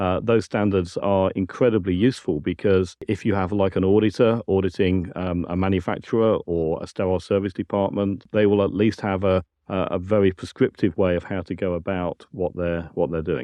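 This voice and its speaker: Fairly quick speech with a British accent and fairly even intonation. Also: man, very deep, low pitch for a man, hardly any pauses. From UK. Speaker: science and technical director. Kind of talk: interview. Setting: conference venue.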